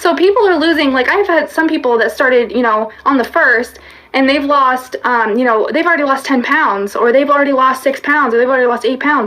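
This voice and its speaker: A woman's high-pitched voice at a fairly quick pace, with very even loudness, hardly any pauses and ordinary pitch variation. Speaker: fitness coach. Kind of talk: livestream talk. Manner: fast; animated.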